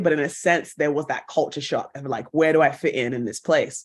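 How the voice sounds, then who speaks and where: Speaking fairly quickly with a British accent, a woman's voice sits very deep and low, with a quiet background. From England. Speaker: actress and broadcaster. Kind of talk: podcast interview.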